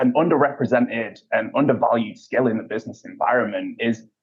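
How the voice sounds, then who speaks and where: This speaker is a man in a British accent. He keeps a moderate pace. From UK. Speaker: payments industry executive. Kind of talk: interview. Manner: frequent filler words and repetitions.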